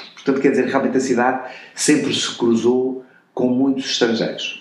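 The room echo is audible. Over it, a man talks fairly quickly. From Portugal, Covilhã. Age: 60s. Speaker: retired advertising executive. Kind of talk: interview conversation.

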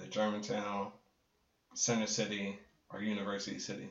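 A man with an American accent and an ordinary speaking voice, at a moderate pace. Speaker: visual artist and photographer. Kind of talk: casual chat.

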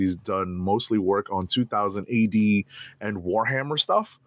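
A man with an American accent at a fairly slow pace, ordinary pitch variation, in a very clean recording with a silent background. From New York. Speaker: comic book podcast co-host. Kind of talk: casual chat. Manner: halting.

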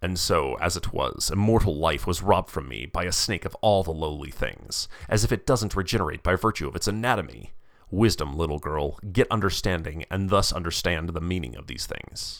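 A man's very deep, low voice with vocal fry, ordinary pitch variation and a fairly quick pace, on a very clean recording with a silent background. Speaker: narrator reading a student's paper. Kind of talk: epic poem reading, narrated aloud in dense rhyming verse. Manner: measured, lyrical, sing-song cadence with rhyme and dramatic emphasis.

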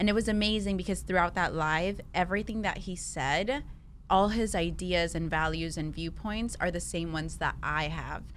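Vocal fry marks a woman's fairly low-pitched voice as she talks at a moderate pace with ordinary pitch variation. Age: 20s. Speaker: direct sales distributor. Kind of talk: casual chat.

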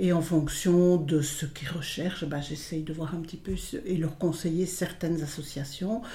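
The speech moves at a fairly slow pace with hardly any pauses. Audible room echo is present. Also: woman, fairly low pitch for a woman, fairly even intonation. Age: 70s. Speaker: volunteer advisor. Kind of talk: interview.

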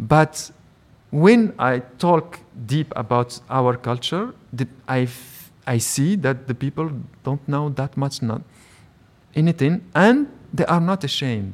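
A man with a fairly high voice speaks very slowly in a Moroccan accent, with lively intonation. Long, frequent pauses break up his speech. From Morocco (Rabat, Salé). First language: Moroccan Arabic. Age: 40s. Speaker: writer and film director. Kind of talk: live interview. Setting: public library with live audience.

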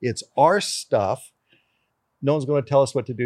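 A man's voice in a dry, close sound with no echo. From Canada. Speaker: race car driver. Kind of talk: casual chat.

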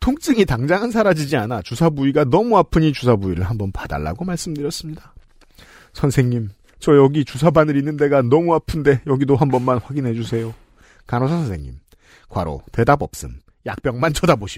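Speech comes at a fairly quick pace. It is an ordinary speaking voice. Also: man, fairly high pitch for a man, lively intonation. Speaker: podcast host reading listener stories. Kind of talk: casual chat and reading listener letters.

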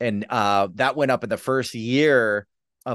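A plain, everyday voice at a moderate pace, ordinary pitch variation, a quiet background and a dry, close sound with no echo. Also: man. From US Midwest, Detroit, Michigan. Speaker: sketch comedy writer and teacher. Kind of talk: casual interview chat.

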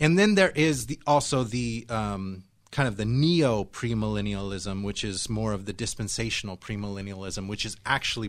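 On a very clean recording with a silent background, a man speaks in an unremarkable speaking voice. His pitch is fairly low with ordinary variation, and his pace is moderate. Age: 40s. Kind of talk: live radio discussion. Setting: radio studio.

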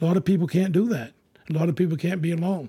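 A man speaks at a fairly high pitch. His tone is dark and mellow. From Maine. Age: 60s. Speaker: retired Coast Guard lighthouse keeper. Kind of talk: personal ghost story recollection. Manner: halting, repeating words.

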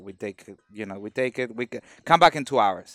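A man with a Mexican accent speaks with ordinary pitch variation while music plays in the background. The sound is dry and close, with no echo. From Mexico, Veracruz. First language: Spanish. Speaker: carpenter. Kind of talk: casual chat. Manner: halting.

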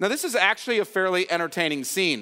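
Projecting his raised voice, a man with a high pitch speaks in a bright, sharp tone with lively intonation and a dry, close sound with no echo. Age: 50s. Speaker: pastor. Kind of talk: sermon. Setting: church.

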